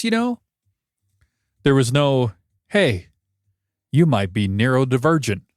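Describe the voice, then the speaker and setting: A man speaks at a moderate pace with very wide pitch swings. The sound is dry and close with no echo, on a very clean recording with a silent background. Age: 30s. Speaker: video creator. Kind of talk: personal vlog monologue. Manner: casual, hesitant with fillers.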